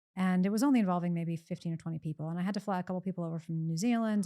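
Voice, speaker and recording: A woman with an American accent speaks at a very fast pace in a medium-pitched, dark, mellow voice with ordinary pitch variation. The recording is very clean, with a silent background. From US, Pennsylvania. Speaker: economist, professor. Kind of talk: podcast interview.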